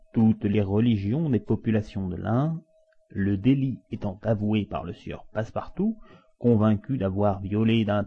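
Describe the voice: With ordinary pitch variation, the clip presents plain reading aloud.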